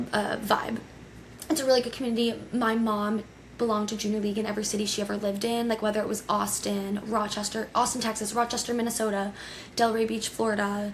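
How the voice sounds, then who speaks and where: A woman talks at a very fast pace in an animated tone. Her pitch sits fairly high. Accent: American. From Connecticut, US. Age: 20s. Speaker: podcast host. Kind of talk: casual solo podcast storytelling.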